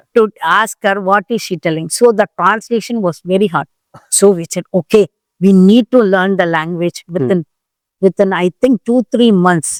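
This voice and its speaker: A woman speaks with an Indian accent and ordinary pitch variation, recorded dry and close with no echo. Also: medium pitch for a woman, moderate pace. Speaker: president of a diaspora community club, long-time expatriate. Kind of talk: interview answer, recounting personal history. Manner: conversational, reflective.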